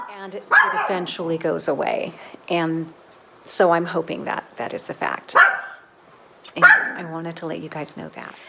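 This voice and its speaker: With noticeable background noise behind her, a woman talks at a moderate pace, leaving long, frequent pauses. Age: 50s. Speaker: lifestyle vlogger. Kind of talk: casual vlog monologue. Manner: halting, with fillers and repeats.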